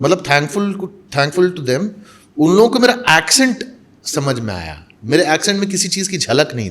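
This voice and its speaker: A man with a high pitch talks at a moderate pace, with very wide pitch swings and big swings in loudness. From India, Mumbai. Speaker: mimicry artist and actor. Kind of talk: interview conversation.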